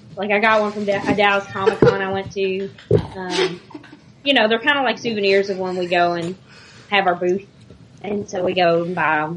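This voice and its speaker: A woman speaks at a moderate pace in a medium pitch, with ordinary pitch variation and long, frequent pauses. Noticeable background noise is present. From Louisville, Kentucky. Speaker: listener and social media helper. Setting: phone call.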